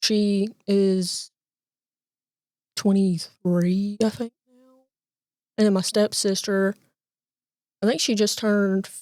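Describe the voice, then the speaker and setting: A woman with a Southern US accent speaks at a very slow pace in a dark, mellow tone, with monotone, flat intonation and long, frequent pauses. Her loudness swings widely, and the sound is dry and close with no echo. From Alabama, US. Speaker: bank loan processor. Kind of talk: interview answer. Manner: soft-spoken, calm.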